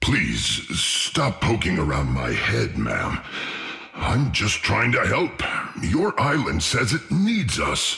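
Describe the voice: A man speaks at a very slow pace in a cartoonish character voice.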